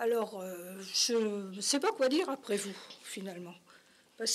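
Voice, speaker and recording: A woman's fairly slow delivery with very wide pitch swings. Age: 80s+. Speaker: community association member. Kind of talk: talk show interview.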